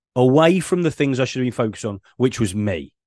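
Very wide pitch swings mark this voice with a British accent, recorded with a dry, close sound with no echo and a quiet background. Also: man. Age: 40s. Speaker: ADHD business coach. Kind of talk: casual interview. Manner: halting, many fillers.

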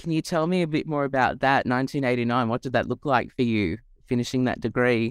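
Over a very clean recording with a silent background, a man talks at a very fast pace. He has an Australian accent, medium pitch, and ordinary pitch variation. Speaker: podcast host, lawyer. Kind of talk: interview.

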